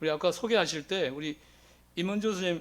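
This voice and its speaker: This man's voice sits at a high pitch and shows ordinary pitch variation. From South Gyeongsang, Korea (Jinju). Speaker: teacher. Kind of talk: lecture.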